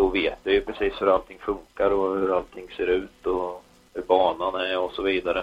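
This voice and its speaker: A man's very deep, low voice at a moderate pace with monotone, flat intonation. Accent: Östergötland. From Östergötland, Sweden. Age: 30s. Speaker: motorsport race director. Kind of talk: casual interview.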